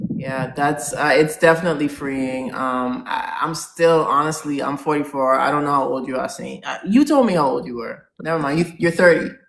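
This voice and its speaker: The speech moves at a moderate pace with hardly any pauses while noticeable background noise runs underneath. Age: 40s. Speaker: podcast co-host. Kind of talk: casual chat.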